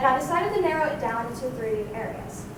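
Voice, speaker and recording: There is noticeable background noise as a woman talks at a moderate pace. Her pitch swings very widely. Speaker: university student. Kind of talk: conference presentation.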